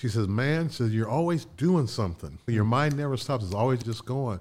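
In an ordinary speaking voice of medium pitch, a man talks at a moderate pace with lively intonation on a very clean recording with a silent background. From Indiana, Connersville. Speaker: business consultant. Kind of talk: interview storytelling. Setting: studio.

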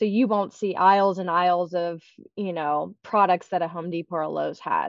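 A woman's fairly low, ordinary speaking voice with an American accent, moderate pace and fairly even intonation. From Pittsburgh area, western Pennsylvania. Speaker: marketing executive. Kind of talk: casual interview.

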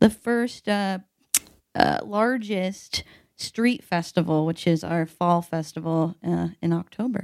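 In a Midwestern American accent, a woman with a fairly low pitch speaks at a very slow pace with ordinary pitch variation. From US Midwest (Evansville, Indiana). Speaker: product marketing manager. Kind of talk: casual chat.

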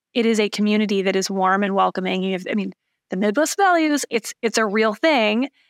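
A woman speaks in an American accent at a moderate pace. Her pitch is medium, on a very clean recording with a silent background. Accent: Michigan accent comes out when talking long. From Michigan, Lansing. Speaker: tech startup founder and CEO. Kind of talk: podcast interview.

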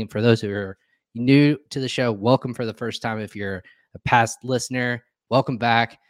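In a very clean recording with a silent background, a man speaks in an ordinary speaking voice at a medium pitch, fairly quick pace and ordinary pitch variation. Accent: American. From Indiana. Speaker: podcast host. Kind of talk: live interview show. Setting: live video stream.

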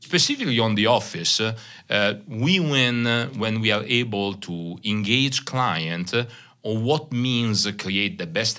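A man with a slight Italian accent at a fairly slow pace, with audible room echo. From Italy, Bologna. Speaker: company CEO. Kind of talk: interview. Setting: conference room.

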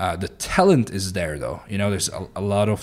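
A man with a Turkish accent and a fairly low pitch speaks at a fairly quick pace in a very clean recording with a silent background. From Turkey, Mediterranean coast. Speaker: startup founder and CEO. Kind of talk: podcast interview.

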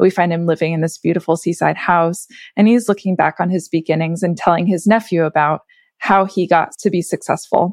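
A woman with an unremarkable speaking voice talks at a fairly quick pace, fairly low in pitch. Her intonation is fairly even, and the sound is dry and close with no echo. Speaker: podcast producer. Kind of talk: casual interview chat.

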